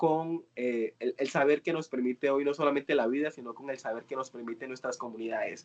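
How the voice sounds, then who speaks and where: An unremarkable speaking voice with fairly even intonation, moving at a moderate pace. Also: man. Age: 20s. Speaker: youth course facilitator. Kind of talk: online workshop discussion.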